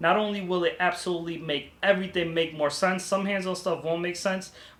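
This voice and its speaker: Over noticeable background noise, a man with a high pitch talks at a fairly quick pace with fairly even intonation. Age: 30s. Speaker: vlogger, student pilot. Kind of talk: vlog tutorial. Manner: casual.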